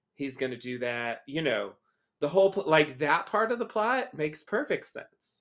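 Moderate pace, very wide pitch swings and a fairly high pitch from a man. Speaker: podcast co-host discussing a TV show. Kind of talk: casual chat. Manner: rambling, many fillers.

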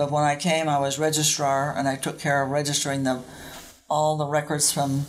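A woman with a very deep, low voice and an American accent, over noticeable background noise. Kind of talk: casual chat. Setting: convent recording room.

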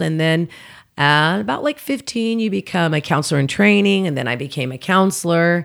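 In a very clean recording with a silent background, a woman with an American accent speaks at a fairly low pitch and a moderate pace in an animated tone. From Oklahoma City, US. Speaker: comedian. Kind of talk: casual chat.

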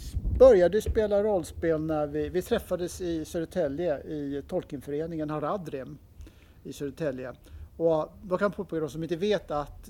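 A man talks in a fairly high pitch with a dark, mellow tone. His pitch varies in an ordinary way. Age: 60s. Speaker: game designer. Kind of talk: interview. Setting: convention.

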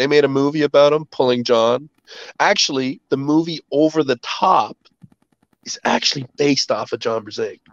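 A man's fairly high-pitched, a normal speaking voice with a Canadian accent, at a moderate pace with ordinary pitch variation, in a dry, close sound with no echo. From Canada. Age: 40s. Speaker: arm wrestling champion and army veteran. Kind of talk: casual interview.

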